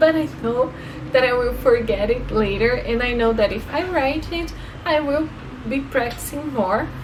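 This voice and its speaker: Over noticeable background noise, a woman with a Brazilian accent and a high pitch talks at a moderate pace with ordinary pitch variation. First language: Portuguese. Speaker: language-learning vlogger; language learner vlogger. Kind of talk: casual tutorial vlog. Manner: halting, with fillers and repeats. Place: home room. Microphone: phone near.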